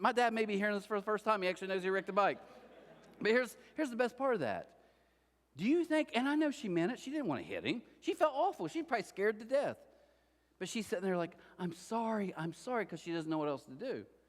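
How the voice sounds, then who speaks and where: Loud and at a very fast pace, a man speaks at a high pitch with very wide pitch swings. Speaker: pastor. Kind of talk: sermon.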